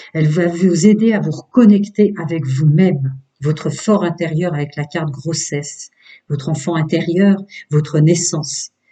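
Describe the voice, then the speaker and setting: Pitched fairly high, a man speaks at a fairly slow pace. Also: ordinary pitch variation. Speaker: tarot reader. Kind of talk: tarot reading. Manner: hesitant.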